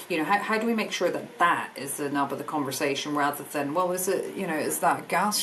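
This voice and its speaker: Ordinary pitch variation in very rapid speech, with noticeable background noise and audible echo from the room. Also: woman. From Scotland. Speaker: energy industry business director. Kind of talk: podcast interview.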